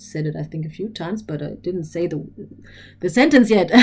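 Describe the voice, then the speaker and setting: A woman with a German accent speaks at a fairly low pitch, her dark, mellow tone marked by vocal fry. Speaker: spiritual teacher. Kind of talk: lecture. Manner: animated; halting.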